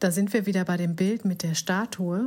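Speaking at a moderate pace, a woman uses a medium pitch and fairly even intonation, her tone dark, mellow, and somewhat breathy. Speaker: podcast host, life coach. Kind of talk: reflective monologue.

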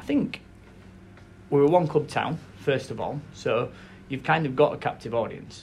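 This man speaks with a Yorkshire accent at a fairly high pitch. His voice is somewhat breathy. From South Yorkshire. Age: 30s. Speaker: football club chief executive. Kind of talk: interview. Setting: football stadium.

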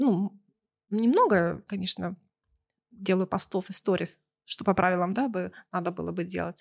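A woman talks with ordinary pitch variation. The sound is dry and close, with no echo. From Russia, Belgorod. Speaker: business event organizer. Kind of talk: casual interview.

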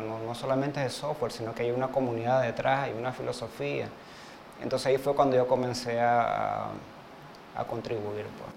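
Amid noticeable background noise, a man of medium pitch talks at a moderate pace with fairly even intonation. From Uruguay, Montevideo. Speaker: web developer. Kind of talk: interview. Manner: hesitant, many fillers.

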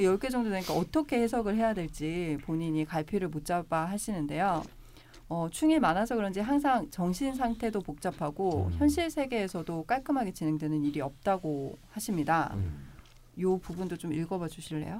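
Dark and mellow in tone, a woman's voice sits at a fairly low pitch. She talks at a moderate pace with lively intonation. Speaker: podcast host. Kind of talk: casual chat.

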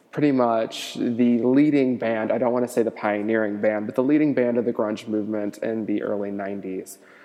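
A man with an American accent talks at a medium pitch and a moderate pace. His intonation is fairly even, and there is noticeable background noise. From US Midwest, Cincinnati. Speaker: podcaster. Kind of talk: casual monologue.

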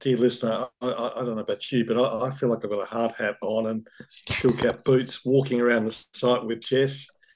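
A man with an Australian accent speaks at a moderate pace in a medium pitch, his intonation monotone and flat. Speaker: urban planner. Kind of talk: interview.

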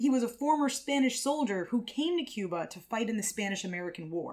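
A playful, animated tone with lively intonation at a fairly quick pace. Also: woman. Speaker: podcast host. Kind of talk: history podcast narration, scripted. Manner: playful, jokey, animated; steady storytelling pace, explanatory.

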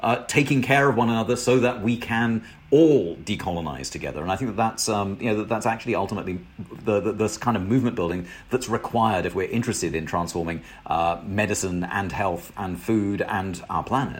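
Here a man speaks with a British accent at a fairly low pitch. His pace is fairly quick, with ordinary pitch variation. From Britain. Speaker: professor and author. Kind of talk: interview. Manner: halting, many repetitions and fillers.

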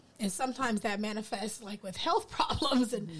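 Over noticeable background noise, a woman with an American accent talks very fast in a fairly high voice with ordinary pitch variation. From US East Coast. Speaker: educator. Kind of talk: casual chat.

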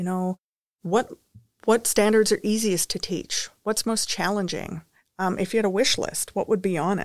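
With a dry, close sound and no echo, a woman of medium pitch speaks at a moderate pace with fairly even intonation. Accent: western Canadian. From Saskatchewan, Canada. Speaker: education researcher. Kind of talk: interview.

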